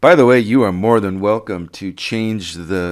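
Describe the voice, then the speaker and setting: Recorded very cleanly against a silent background, a man speaks very slowly with ordinary pitch variation. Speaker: programming instructor. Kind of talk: tutorial. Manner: hesitant, many fillers.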